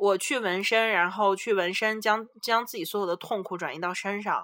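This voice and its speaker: On a very clean recording with a silent background, a woman speaks at a moderate pace and medium pitch, her tone bright and sharp, with ordinary pitch variation. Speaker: podcast host, international student. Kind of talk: casual chat.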